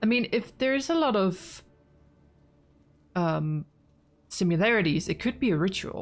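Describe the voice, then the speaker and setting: Lively intonation at a moderate pace in a Danish accent, with very even loudness, long, frequent pauses and a very clean recording over a silent background. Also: woman, medium pitch for a woman. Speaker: gaming streamer. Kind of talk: let's play commentary.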